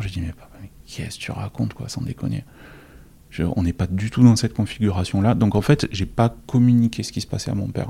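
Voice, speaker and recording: Very fast in pace, a man speaks at a fairly low pitch with ordinary pitch variation. His tone is dark and mellow and somewhat breathy. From southern France. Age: 40s. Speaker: office manager sharing personal story. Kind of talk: personal testimony. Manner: halting, many repetitions and fillers.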